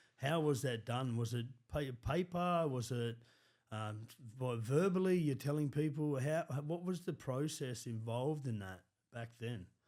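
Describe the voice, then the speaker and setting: On a very clean recording with a silent background, a man with an Australian accent speaks at a medium pitch. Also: ordinary pitch variation, fairly slow pace. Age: 30s. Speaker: podcast host. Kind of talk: interview.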